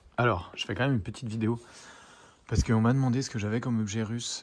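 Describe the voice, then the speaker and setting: A man does the talking here. There is little rise and fall, with fairly even intonation. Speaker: history teacher and comic artist. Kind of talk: casual collection show-and-tell video. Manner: casual, hesitant with many fillers; fast.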